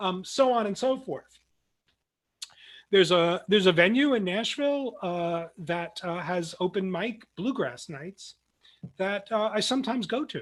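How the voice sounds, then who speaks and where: A man talks with a New Jersey accent. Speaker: philosophy professor. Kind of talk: lecture. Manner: many fillers and restarts.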